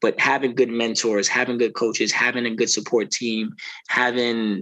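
A man talks at a moderate pace and medium pitch. His tone is bright and sharp. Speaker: podcast host. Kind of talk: casual interview.

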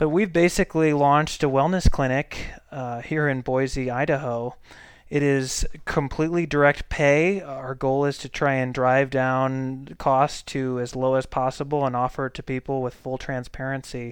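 A plain, everyday voice with an American accent, moderate pace and fairly even intonation over a quiet background. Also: man, medium pitch for a man. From Saint Louis, Missouri. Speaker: podcast host and family physician. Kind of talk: casual monologue.

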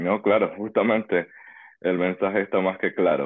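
This man talks at a moderate pace in a fairly low pitch. He has a plain, everyday voice. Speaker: podcast host. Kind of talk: interview.

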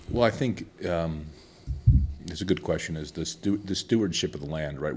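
The delivery, in an American accent, moves at a fairly quick pace. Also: man. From Chicago. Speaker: investment banker. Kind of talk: podcast interview.

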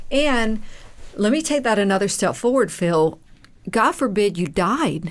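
The recording is very clean, with a silent background and very even loudness. The pace is fairly slow, and the pitch swings very widely. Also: woman, medium pitch for a woman. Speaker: dentist and podcast co-host. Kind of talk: casual podcast conversation.

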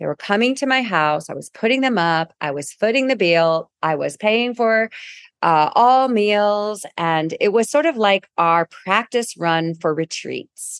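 An animated tone with very wide pitch swings at a fairly slow pace, in a dry, close sound with no echo against a quiet background. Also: woman, medium pitch for a woman. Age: 50s. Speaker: podcast host and wellness business founder. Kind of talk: solo storytelling podcast monologue. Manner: animated, laughing often.

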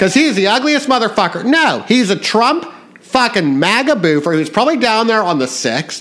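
Over noticeable background noise, a man with a high pitch keeps his loudness very even while his pitch swings very widely at a moderate pace. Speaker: podcast host. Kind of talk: casual political chat. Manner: animated, profane ranting.

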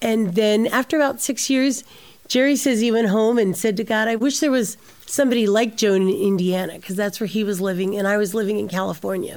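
At a fairly quick pace, a woman speaks in an unremarkable speaking voice with a fairly high pitch and ordinary pitch variation. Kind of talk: interview.

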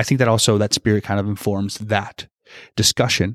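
A man with a normal speaking voice talks at a fairly quick pace and a fairly low pitch. The recording is very clean with a silent background, and the sound is dry and close with no echo. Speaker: seminarian podcast co-host. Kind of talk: casual discussion podcast interview.

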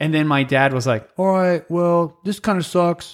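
Speaking at a fairly slow pace, a man uses lively intonation in a high-pitched voice. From New Mexico, Alamogordo. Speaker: podcast co-host. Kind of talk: casual chat. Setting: studio.

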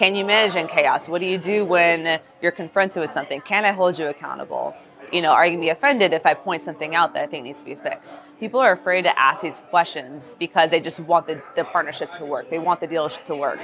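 Someone talks at a very fast pace with hardly any pauses and ordinary pitch variation, over noticeable background noise. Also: woman, fairly low pitch for a woman. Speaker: real estate agent. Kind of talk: casual interview chat. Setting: live at conference.

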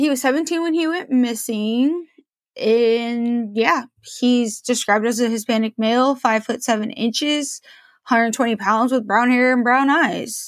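A woman with an American accent speaks at a high pitch with ordinary pitch variation and very even loudness, on a very clean recording with a silent background. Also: moderate pace. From Portland, Oregon, US Pacific Northwest. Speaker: true crime podcast host. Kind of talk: casual podcast monologue. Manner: casual and chatty with fillers.

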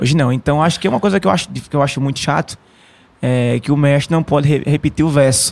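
A man talks at a very fast pace, his pitch fairly high. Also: ordinary pitch variation. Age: 20s. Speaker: traditional musician, maracatu and ciranda master. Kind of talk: interview.

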